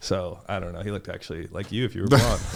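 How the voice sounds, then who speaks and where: A man is speaking. He has a Californian accent. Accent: California. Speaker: volleyball player. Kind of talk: casual chat. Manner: animated.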